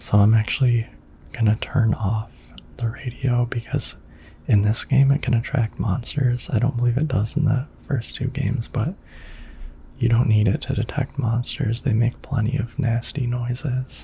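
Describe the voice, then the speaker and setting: A soft-spoken man talks at a moderate pace and medium pitch with fairly even intonation. Noticeable background noise is present. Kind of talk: relaxing gaming commentary for sleep.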